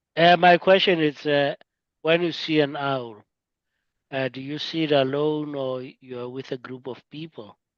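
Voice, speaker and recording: A man with a fairly high pitch talks at a fairly slow pace with fairly even intonation and big swings in loudness, recorded dry and close with no echo against a quiet background. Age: 60s. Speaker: discussion moderator. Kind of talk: casual group discussion. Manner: hesitant, many fillers.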